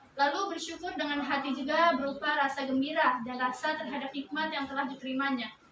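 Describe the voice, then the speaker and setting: A woman's high-pitched voice, bright and sharp in tone, very fast in pace, fairly even in intonation, with audible room echo. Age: 20s. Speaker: student teacher. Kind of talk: classroom lesson.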